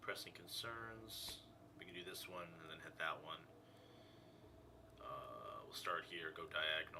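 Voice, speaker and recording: A man's speech with long, frequent pauses, noticeable background noise and audible room echo. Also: fairly slow pace. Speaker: gaming streamer. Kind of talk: casual gameplay commentary. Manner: loud; casual.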